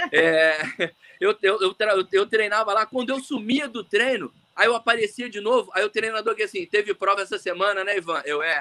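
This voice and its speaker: A man speaks in a raised, projected voice at a fairly quick pace, pitched high with ordinary pitch variation. His tone is bright and sharp, and the sound is dry and close with no echo. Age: 40s. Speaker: orthopedic surgeon and swimmer. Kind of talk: casual chat. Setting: live video call. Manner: talkative.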